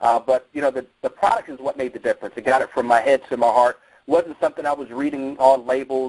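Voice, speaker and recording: Speaking at a very fast pace with hardly any pauses, a man in an American accent sounds energetic. The sound is dry and close, with no echo. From New Jersey. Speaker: network marketing distributor and former Marine fitness coach. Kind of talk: motivational promo call.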